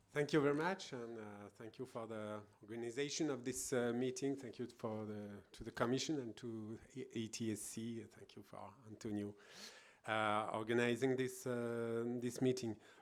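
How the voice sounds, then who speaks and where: A man's medium-pitched voice with fairly even intonation and big swings in loudness. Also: moderate pace. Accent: French. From France. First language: French. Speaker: government road safety official. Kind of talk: conference presentation. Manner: halting.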